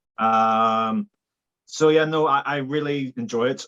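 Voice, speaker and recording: With a Belfast accent, a man speaks at medium pitch with ordinary pitch variation in a dry, close sound with no echo. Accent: Belfast Northern Irish. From Northern Ireland, Belfast. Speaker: filmmaker and videographer. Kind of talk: casual interview chat.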